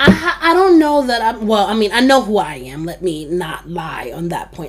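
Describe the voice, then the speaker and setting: Noticeable background noise runs behind the speech. The speaker is a woman going at a moderate pace. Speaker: podcast host. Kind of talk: casual chat. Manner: animated.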